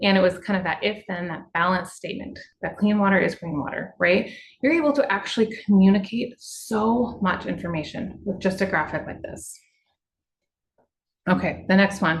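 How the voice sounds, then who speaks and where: The pitch moves in an ordinary way. The voice is somewhat breathy. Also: woman, medium pitch for a woman. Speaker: water utility communicator. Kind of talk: webinar presentation. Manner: fast; casual, conversational.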